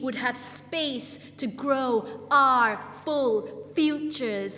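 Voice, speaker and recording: There is noticeable background noise as a woman speaks with fairly even intonation. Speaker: spoken word poet. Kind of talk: spoken word poetry performance. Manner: rhythmic.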